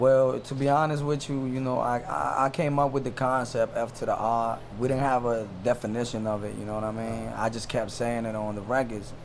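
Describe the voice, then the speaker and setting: A man talks at a medium pitch and a fairly quick pace, with hardly any pauses. There is noticeable background noise. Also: fairly even intonation. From Washington DC area (raised from El Salvador, age 7-8). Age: 30s. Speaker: rapper. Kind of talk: casual interview.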